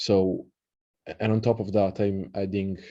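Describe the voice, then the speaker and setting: In an Italian accent, the voice moves at a fairly slow pace with a dark, mellow tone and monotone, flat intonation over a quiet background. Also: man. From Italy. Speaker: occult researcher and translator. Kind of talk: lecture. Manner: halting, many fillers; casual.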